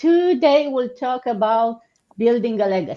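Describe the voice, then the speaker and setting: Speaking with a Romanian accent, a woman uses a dark, mellow tone and very wide pitch swings. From Romania, Suceava. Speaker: online business host. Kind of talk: live stream business session.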